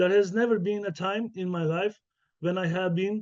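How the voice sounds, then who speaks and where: The tone is dark and mellow. The pace is moderate, with ordinary pitch variation. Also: man. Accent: Turkish. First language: Turkish. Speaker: professor. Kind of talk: keynote lecture. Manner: halting, many fillers.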